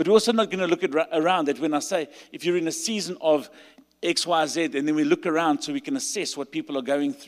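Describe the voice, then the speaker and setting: A man speaks with a South African accent at a very fast pace. His high voice has lively intonation. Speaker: pastor. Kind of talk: sermon. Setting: stage with audience.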